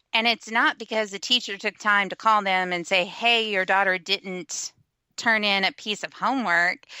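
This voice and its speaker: A bright, sharp tone with a Texan accent and fairly even intonation, dry and close with no echo, on a very clean recording with a silent background. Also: woman, medium pitch for a woman, moderate pace. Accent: Texan, mild in everyday speech. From West Texas, small rural town. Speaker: blogger. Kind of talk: casual chat.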